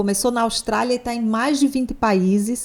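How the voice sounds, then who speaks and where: A woman with a Natal accent speaks at a fairly high pitch with ordinary pitch variation. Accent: Northeastern Brazilian (Natal). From Brazil, Natal, Rio Grande do Norte (Northeast). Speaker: psychologist. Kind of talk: podcast interview.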